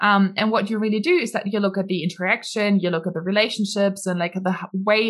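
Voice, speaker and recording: With a German accent, the voice moves at a fairly quick pace with fairly even intonation. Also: woman. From Germany. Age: 20s. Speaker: entrepreneur. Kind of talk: interview.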